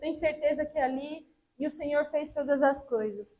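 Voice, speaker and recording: Her pitch is high as the woman talks at a moderate speed. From Brazil, São Paulo city. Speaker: missionary preacher. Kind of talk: sermon. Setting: church service.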